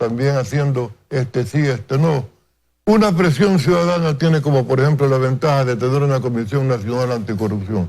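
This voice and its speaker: A man has a normal speaking voice, medium in pitch with ordinary pitch variation, at a moderate pace and very even loudness. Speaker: political analyst. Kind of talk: TV news interview. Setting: TV studio.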